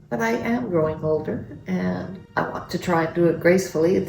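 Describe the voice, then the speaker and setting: Amid audible room echo and noticeable background noise, a woman with a fairly low pitch speaks at a moderate pace. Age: 70s. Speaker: grandmother. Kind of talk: family interview.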